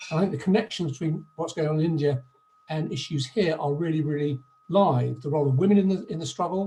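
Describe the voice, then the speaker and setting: A man talks very fast at a fairly high pitch, with a dark, mellow tone and ordinary pitch variation. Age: 60s. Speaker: activist at a public meeting. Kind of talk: online meeting contribution.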